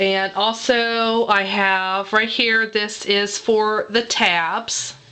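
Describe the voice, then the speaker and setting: Over noticeable background noise, a woman speaks in a fairly high voice. Her pace is very slow. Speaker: guest crafter. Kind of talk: tutorial. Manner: halting.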